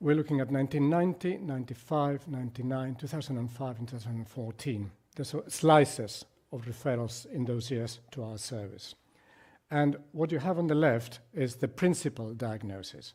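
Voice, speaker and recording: In a Spanish accent, a man speaks at a moderate pace and a medium pitch, with ordinary pitch variation. His tone is dark and mellow, and somewhat breathy. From Spain. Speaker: psychiatrist. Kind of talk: lecture.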